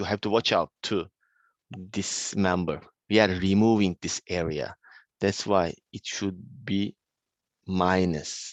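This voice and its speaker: A man with a very deep, low voice speaks at a very slow pace with long, frequent pauses. The sound is dry and close with no echo, over a quiet background. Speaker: university lecturer. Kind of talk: lecture. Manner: slow, many hesitations.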